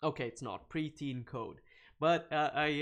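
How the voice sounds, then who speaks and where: A man is speaking. He has a Swedish accent. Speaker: programming live streamer. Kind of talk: live coding stream. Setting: live stream. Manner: animated; hesitant, many fillers.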